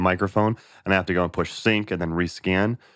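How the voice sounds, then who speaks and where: Enthusiastic in tone, a man talks at a very fast pace and fairly low pitch with ordinary pitch variation, his sound dry and close with no echo. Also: very clean recording, silent background. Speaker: audio gear reviewer. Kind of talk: product demo tutorial. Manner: casual, enthusiastic.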